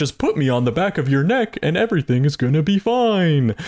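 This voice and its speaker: A put-on character voice swings very widely in pitch at a fairly quick pace. The sound is dry and close, with no echo. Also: man, fairly high pitch for a man. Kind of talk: TV host style.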